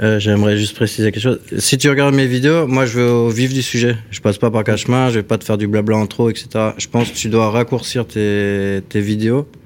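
At a fairly quick pace, a man with an unremarkable speaking voice holds a medium pitch and fairly even intonation. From Alsace, France (Strasbourg). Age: 40s. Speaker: carpenter and bodywork craftsman. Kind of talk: casual chat.

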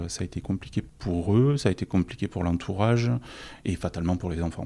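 Very deep, low male speech with a dark, mellow tone. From southern France. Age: 40s. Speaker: office manager sharing personal story. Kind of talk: personal testimony. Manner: halting, many repetitions and fillers.

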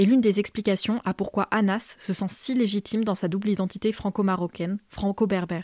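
Using an ordinary speaking voice, a woman talks at a fairly quick pace and medium pitch with fairly even intonation, the sound dry and close with no echo on a very clean recording with a silent background. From rural France. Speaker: podcast host. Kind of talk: scripted narration.

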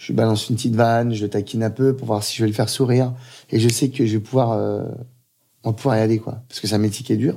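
On a very clean recording with a silent background, a man with a dark, mellow tone speaks very fast at medium pitch with fairly even intonation. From Paris suburbs (Aubervilliers). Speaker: chef and restaurant owner. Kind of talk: interview. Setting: restaurant.

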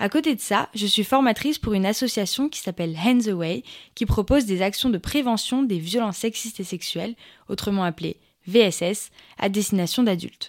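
On a very clean recording with a silent background, a woman with a normal speaking voice talks at a moderate pace and medium pitch, her intonation lively. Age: 20s. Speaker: podcast host and social entrepreneur. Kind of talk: scripted podcast monologue.

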